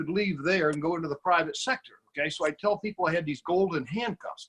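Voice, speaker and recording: A man's high voice, very fast, with lively intonation and a dry, close sound free of echo. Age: 70s. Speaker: business opportunity presenter. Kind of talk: sales pitch. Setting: video call. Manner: animated.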